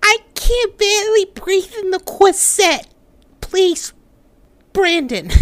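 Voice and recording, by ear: A female-sounding put-on character voice reaches an extremely high pitch. The delivery is very slow.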